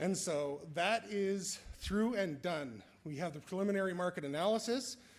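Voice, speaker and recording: With lively intonation, a man speaks at a moderate pace in a fairly high voice. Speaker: assessment agency staff presenter. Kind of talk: conference presentation. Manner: halting.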